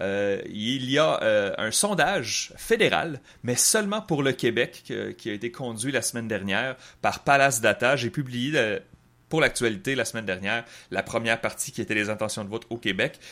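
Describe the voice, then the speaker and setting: A man with a bright, sharp tone speaks at a medium pitch and moderate pace with ordinary pitch variation, in a very clean recording with a silent background. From Quebec City. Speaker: political analyst podcast host. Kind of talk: casual chat.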